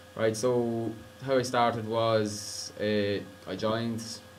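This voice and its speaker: A man with an Irish accent and a fairly low pitch, monotone and flat in intonation, amid noticeable background noise and audible room echo. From Ireland. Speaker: college student. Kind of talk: screencast tutorial. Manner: casual.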